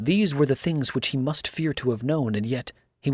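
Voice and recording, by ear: Reading aloud in a natural voice, the speaker uses ordinary pitch variation. The background is quiet.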